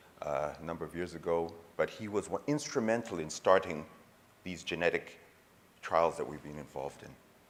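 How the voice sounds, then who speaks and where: The speaker uses an American accent at a fairly quick pace, with ordinary pitch variation and big swings in loudness. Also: man, very deep, low pitch for a man. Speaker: urologist, conference speaker. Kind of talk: conference lecture.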